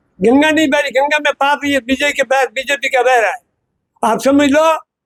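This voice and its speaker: A man speaks at a moderate pace. His pitch is extremely high. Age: old. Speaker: local shopkeeper, resident. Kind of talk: street interview. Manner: stammers at times.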